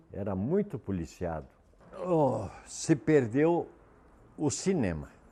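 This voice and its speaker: The speaker talks very slowly in a Rio Grande do Sul accent, with very wide pitch swings. The tone is dark and mellow. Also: man, medium pitch for a man. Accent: southern Brazilian gaúcho Portuguese. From southern Brazil, Erechim, Rio Grande do Sul. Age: 70s. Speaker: local elder sharing memories. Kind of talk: reminiscing interview.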